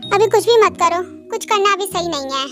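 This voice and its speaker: A squeaky, put-on character voice at a very fast pace, with clear music in the background. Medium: audio drama. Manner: calm, measured.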